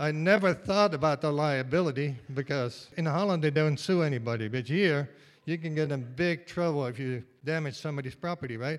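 A man with a Dutch accent speaks at a fairly high pitch and a fairly quick pace. The recording is very clean with a silent background. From Netherlands. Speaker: retired state worker, tour bus driver. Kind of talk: live storytelling. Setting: stage with audience.

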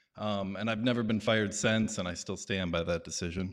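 A man's pitch rises and falls in an ordinary way over a quiet background. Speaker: storyteller. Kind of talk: live storytelling on stage. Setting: stage with audience.

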